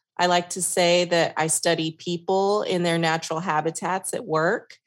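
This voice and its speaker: A woman with a fairly low pitch is heard in a very clean recording with a silent background. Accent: slight Texas. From New York. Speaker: workplace consultant and podcast host. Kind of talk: casual interview chat.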